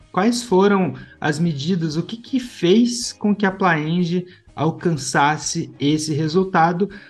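A man's high voice at a very slow pace with ordinary pitch variation and music in the background. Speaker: podcast host, head of education. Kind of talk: interview and news commentary podcast.

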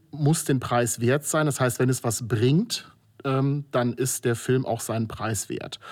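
A man talks at a very slow pace and a medium pitch. His intonation stays fairly even. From Germany, Moselle region (Rhineland-Palatinate). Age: 40s. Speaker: filmmaker. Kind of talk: interview. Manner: hesitant, many filler sounds.

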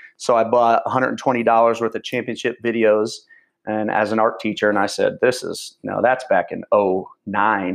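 This man has an American accent and speaks at a moderate pace. The background is quiet. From central Illinois, US Midwest. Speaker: football coach and online clinic owner. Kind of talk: interview conversation. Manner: energetic, passionate.

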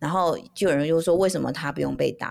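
Very rapid delivery from a woman. She sits fairly low in pitch. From Taiwan (Taipei). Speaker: podcast co-host, mother. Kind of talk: casual chat.

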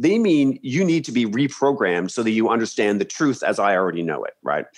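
Talking very fast at a medium pitch, a man with a Canadian accent moves through very wide pitch swings. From Canada, Ontario (Peterborough area). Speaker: history professor. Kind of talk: interview conversation. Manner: halting with many repetitions.

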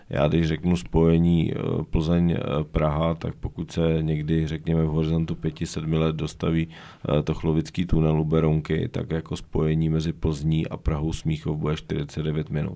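At a fairly slow pace, a man speaks in a very deep, low voice with monotone, flat intonation. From western Bohemia, Domažlice (Chodsko). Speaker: regional governor, politician. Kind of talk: casual interview.

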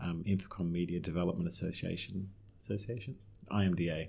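A man's very deep, low voice in an Australian accent, dark and mellow in tone, with monotone, flat intonation. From Australia (Melbourne). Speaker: real estate investment executive. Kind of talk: interview.

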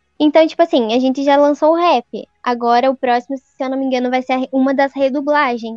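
Speaking in a strong southern Paraná accent, a woman has a high pitch and fairly even intonation. Her pace is fairly quick, and the sound is dry and close with no echo. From southern Paraná, Brazil. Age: 20s. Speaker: civil servant. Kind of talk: casual chat.

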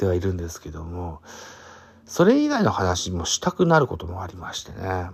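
Over a silent background in a very clean recording, a man talks at a fairly quick pace with very wide pitch swings. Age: 40s. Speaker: podcaster. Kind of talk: casual solo podcast talk. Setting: late-night solo recording. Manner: many fillers.

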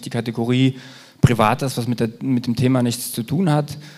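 This man's medium-pitched voice moves at a moderate pace, with ordinary pitch variation. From eastern Germany. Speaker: podcast host. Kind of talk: live podcast recording. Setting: stage with live audience. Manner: hesitant, many fillers.

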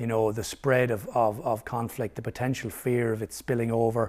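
A man with a Limerick accent speaks at a moderate pace and medium pitch in a very clean recording with a silent background. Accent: Irish (Limerick). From Ireland, Limerick. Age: 50s. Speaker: historian. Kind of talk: interview.

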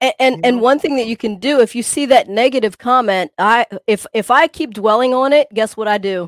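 A woman with a slight country accent talks at a fairly quick pace and high pitch with ordinary pitch variation, hardly any pauses and an animated, playful tone. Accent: slight country twang. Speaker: co-host fitness podcaster. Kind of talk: casual chat, banter.

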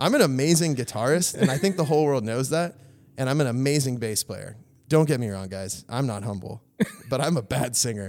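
A man with an American accent talks at a fairly quick pace. His medium-pitched voice is an unremarkable speaking voice. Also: lively intonation. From US West Coast (Valencia, California). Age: 30s. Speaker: church member. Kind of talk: casual interview.

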